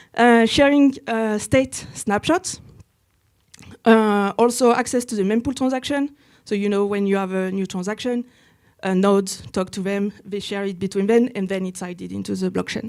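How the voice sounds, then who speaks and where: A woman with a French accent speaks at a moderate pace and a medium pitch. Her pitch varies in an ordinary way, on a very clean recording with a silent background. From France. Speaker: software engineer, workshop presenter. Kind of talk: technical workshop presentation. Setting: conference room with live audience. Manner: hesitant with many fillers.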